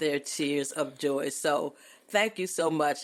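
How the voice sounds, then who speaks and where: The speaker is a woman with a very deep, low voice. She talks at a fairly slow pace. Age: 80s+. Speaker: podcast host's mother. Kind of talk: casual chat.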